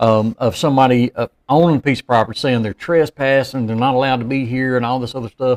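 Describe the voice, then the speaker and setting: In a Southern US accent, a man talks very fast with hardly any pauses and fairly even intonation, the sound dry and close with no echo on a very clean recording with a silent background. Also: medium pitch for a man. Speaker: podcast co-host, former law enforcement officer. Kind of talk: casual chat.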